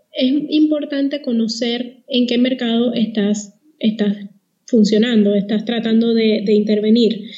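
Very slowly, a woman talks at a high pitch with fairly even intonation. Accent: Puerto Rican. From Puerto Rico. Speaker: communications consultant. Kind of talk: podcast interview.

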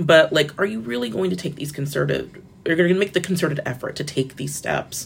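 Using a very deep, low pitch with vocal fry, a woman with an American accent speaks at a fairly quick pace with lively intonation. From Florida. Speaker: media editor and journalist. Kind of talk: interview. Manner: casual with filler words.

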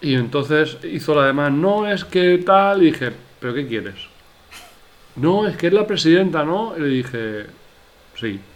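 Lively intonation marks this man's fairly high-pitched speech, full of long, frequent pauses. Audible room echo surrounds him. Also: fairly slow pace. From Spain, Elche. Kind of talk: casual chat.

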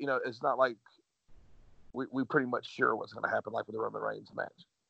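The speaker is a man with an American accent. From US state of Georgia. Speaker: collectibles website owner, wrestling fan. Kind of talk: casual chat.

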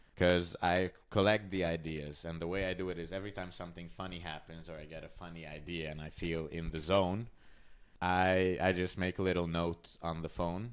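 A man's very deep, low voice in a Hungarian accent, at a moderate pace, with fairly even intonation and big swings in loudness. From Hungary. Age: 20s. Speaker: comedian. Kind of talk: casual chat.

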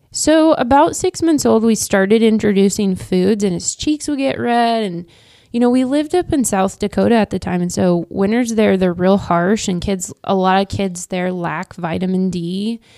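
In a Midwestern American accent, a woman speaks at a moderate pace with a medium pitch and hardly any pauses. Her tone is dark and mellow, her intonation lively, and the recording very clean with a silent background. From Kansas (Wichita). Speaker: real estate agent and coach's wife. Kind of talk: casual interview chat. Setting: podcast studio. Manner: talkative.

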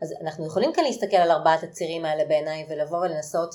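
The woman's voice has a dark, mellow tone. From Israel. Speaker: podcast host. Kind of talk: interview.

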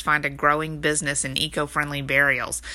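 With a Texan accent, a woman speaks at a fairly quick pace in a very deep, low voice with a bright, sharp tone. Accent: Texas Southern US. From Texas. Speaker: online business coach, podcast host. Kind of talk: solo tutorial podcast. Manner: casual, conversational with fillers.

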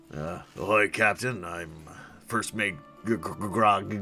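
Over clear music in the background, a man uses a put-on character voice at a fairly low pitch and a very slow pace. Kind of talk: pirate speech. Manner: greeting, hearty.

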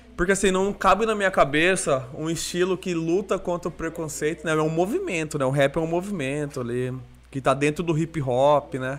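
At a moderate pace, a man talks in a normal speaking voice that sits fairly high in pitch and varies in an ordinary way. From Brazil, Cuiabá. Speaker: podcast host. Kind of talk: casual chat.

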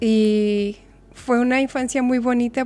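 Pitched fairly high, a woman speaks at a fairly slow pace in a monotone, flat delivery. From Mexico (Chihuahua). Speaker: nutritionist. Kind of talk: casual chat. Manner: soft-spoken.

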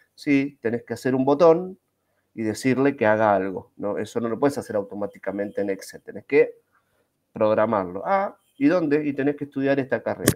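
At a fairly quick pace, a man with a normal speaking voice talks fairly high in pitch, lively in intonation and with big swings in loudness. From Argentina, Buenos Aires. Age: 40s. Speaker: Scrum master and IT teacher. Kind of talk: casual interview. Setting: live video stream.

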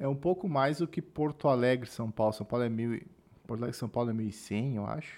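A man at a fairly quick pace and medium pitch, with ordinary pitch variation, in a very clean recording against a silent background. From southern Brazil. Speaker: podcast host. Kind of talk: casual chat.

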